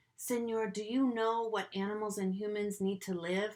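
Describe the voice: Fairly even intonation in plain reading aloud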